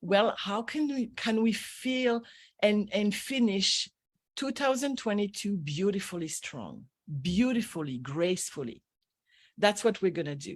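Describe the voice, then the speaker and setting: Speaking at a fairly slow pace, a woman uses a French accent and a medium pitch with very wide swings. The recording is very clean, with a silent background. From France. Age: 60s. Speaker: energy healer and business coach. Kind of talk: radio interview. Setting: radio show. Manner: animated.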